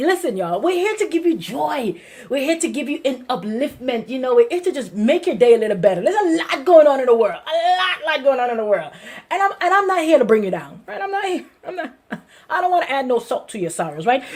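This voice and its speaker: The speech comes at a very fast pace in an American accent. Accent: Brooklyn accent, comes out when excited. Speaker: pastor. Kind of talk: sermon. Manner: animated; repetitive, emphatic.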